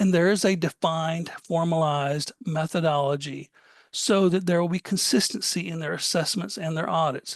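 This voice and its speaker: The speaker has an Alabama accent, and the background is quiet. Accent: Southern US (Alabama). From US South, Alabama. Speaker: cybersecurity compliance presenter. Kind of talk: webinar presentation. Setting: online webinar. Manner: fast.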